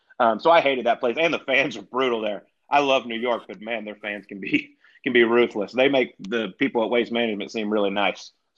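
A man talks at a fairly quick pace in a Southern US accent. His pitch variation is ordinary, and his loudness swings widely. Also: medium pitch for a man. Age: 30s. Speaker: retired pro golfer, golf broadcaster. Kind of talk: casual chat.

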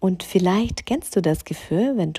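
Somewhat breathy and dark, mellow in tone, a woman speaks at a medium pitch with lively intonation. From Ukraine. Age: 30s. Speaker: fashion stylist and podcaster. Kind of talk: solo podcast monologue.

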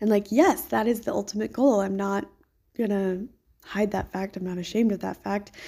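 Her tone dark and mellow, a woman speaks at a moderate pace and a medium pitch with ordinary pitch variation. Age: 30s. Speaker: podcaster, kindergarten worker. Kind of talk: audio diary monologue. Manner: casual, filler-heavy.

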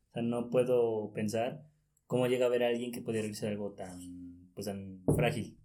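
There is audible room echo as a man speaks with a dark, mellow tone and fairly even intonation. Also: medium pitch for a man, moderate pace. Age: 20s. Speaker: journalism student and sports writer. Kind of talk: casual chat.

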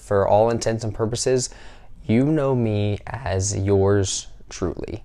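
A man's fairly low voice with an American accent and fairly even intonation. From US South. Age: 20s. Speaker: podcaster. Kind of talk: casual monologue. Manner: halting.

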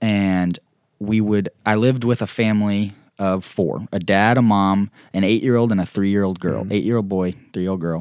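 In a very clean recording with a silent background and a dry, close sound with no echo, a man with an unremarkable speaking voice talks at a moderate pace, his fairly low pitch showing ordinary variation. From Oklahoma, Tulsa. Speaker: professional disc golfer. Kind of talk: casual interview. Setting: Airbnb bedroom.

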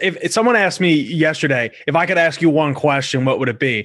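A man with an American accent has a plain, everyday voice, pitched fairly high. His intonation is lively against a quiet background. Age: 20s. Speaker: podcast host. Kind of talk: casual interview.

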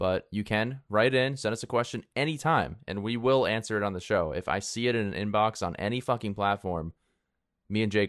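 Speaking at a fairly quick pace in a normal speaking voice, a man with a fairly low pitch and ordinary pitch variation is heard in a dry, close sound with no echo against a quiet background. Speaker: fantasy football podcast co-host. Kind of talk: casual chat. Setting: remote recording, hosts in different places.

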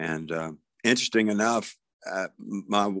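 A man's very deep, low voice with a Southern US accent, on a very clean recording against a silent background. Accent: Southern US (Georgia). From US South. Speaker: songwriter. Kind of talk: casual chat.

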